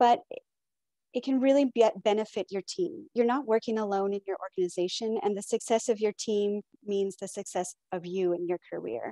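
Dark, mellow tone at a moderate pace, ordinary pitch variation, a dry sound with no echo and a quiet background. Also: woman. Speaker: keynote speaker, supply chain professional; keynote speaker. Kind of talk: keynote address. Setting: video call. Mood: encouraging. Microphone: earbuds.

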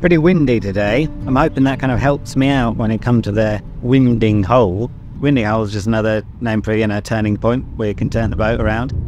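A man speaks at a very fast pace with ordinary pitch variation, in a dry sound with no echo and faint music in the background. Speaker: boater vlogger. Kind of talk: casual vlog chat. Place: boat. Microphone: phone near.

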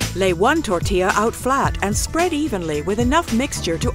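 A woman at a moderate pace, in a dry sound with no echo, over clear music in the background. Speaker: voice actor. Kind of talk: recipe video narration. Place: studio.

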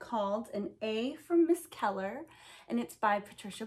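Lively intonation in a natural reading voice

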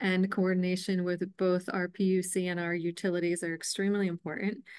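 Over a quiet background, a woman speaks at a moderate pace in a medium pitch with monotone, flat intonation. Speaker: state environmental agency director; presenter. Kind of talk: technical presentation. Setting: video call. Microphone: video call.

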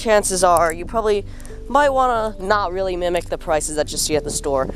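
Fairly quick delivery, dry and echo-free, with faint background music. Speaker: young backyard farmer vlogger. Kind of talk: casual vlog tutorial. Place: garden. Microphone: phone near.

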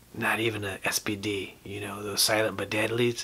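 Using a put-on character voice, a man speaks in a raspy, fairly low pitch. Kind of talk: comic storytelling monologue. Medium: puppet.

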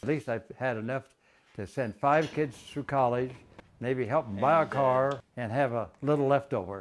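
Light background noise accompanies a man speaking with a Midwestern American accent. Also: medium pitch for a man, ordinary pitch variation, moderate pace. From Illinois. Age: 80s+. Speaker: inventor, retired grain elevator manager. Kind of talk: interview answer. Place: home room. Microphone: lapel.

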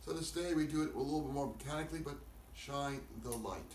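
Light background noise and audible room echo accompany a man's speech. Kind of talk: sermon. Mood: calm, solemn, slow. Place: home room. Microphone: camera far.

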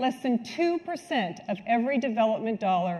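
A woman's dark, mellow, somewhat breathy voice with lively intonation at a moderate pace. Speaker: conference speaker. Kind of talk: keynote talk. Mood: earnest, serious. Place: hall. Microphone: lapel.

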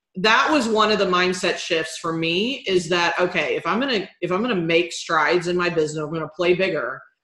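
At a fairly quick pace and with hardly any pauses, a woman speaks at a fairly low pitch in a bright, sharp tone, against a quiet background with audible room echo. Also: ordinary pitch variation. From Texas, Houston. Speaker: business strategist; business coach, interview guest. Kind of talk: interview. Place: home room. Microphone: webcam.

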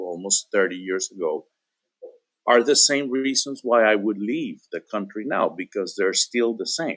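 A man with a Spanish accent at a fairly slow pace, dry sound with no echo, quiet background. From Venezuela. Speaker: podcast guest. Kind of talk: casual chat. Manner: halting, many repetitions. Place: home room.

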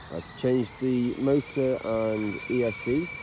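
The sound is dry with no echo. There is noticeable background noise. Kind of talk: casual vlog chat. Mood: excited. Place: open country. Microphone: phone near.

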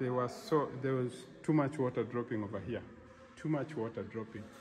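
There is noticeable background noise. Over it, a man speaks at a fairly quick pace. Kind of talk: casual vlog chat. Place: hall. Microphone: phone near.

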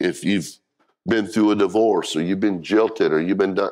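An ordinary speaking voice at a moderate pace against a quiet background. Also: man. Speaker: pastor. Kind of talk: sermon. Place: church.

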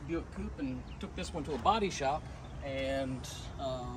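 A man speaks fairly slowly while noticeable background noise plays behind him. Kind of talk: casual storytelling. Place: street. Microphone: phone near.

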